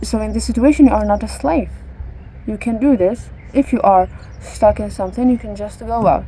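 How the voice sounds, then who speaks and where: Big swings in loudness at a fairly quick pace, with noticeable background noise. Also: woman. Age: 20s. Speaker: vlogger. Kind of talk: casual monologue to camera. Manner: halting, searching for words.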